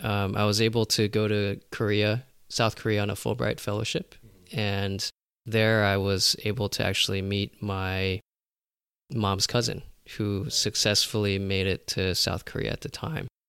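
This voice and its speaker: At a moderate pace, a man with an American accent and a fairly low pitch speaks with fairly even intonation on a very clean recording with a silent background. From US West Coast (Los Angeles). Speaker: physician and documentary filmmaker. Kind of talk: interview. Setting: in person. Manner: halting.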